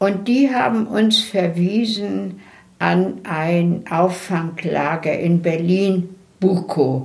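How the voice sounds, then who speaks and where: At a very slow pace, a somewhat breathy woman speaks with ordinary pitch variation and very even loudness, with room echo audible. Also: fairly low pitch for a woman. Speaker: deportation survivor. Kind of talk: oral history interview.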